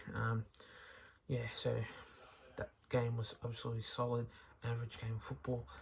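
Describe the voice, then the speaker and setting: A man talks at a moderate pace in a monotone, flat delivery, somewhat breathy and broken by long, frequent pauses. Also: medium pitch for a man. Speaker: sports recap youtuber. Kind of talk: sports recap commentary. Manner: hesitant, many fillers.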